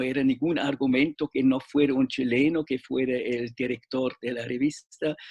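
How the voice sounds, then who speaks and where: Delivered in a flat monotone with a non-native accent, the speech goes at a fairly slow pace, the sound dry and close with no echo. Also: man. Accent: foreign accent in Spanish. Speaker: literature professor and journal director. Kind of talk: interview panel discussion. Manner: halting, many fillers and restarts.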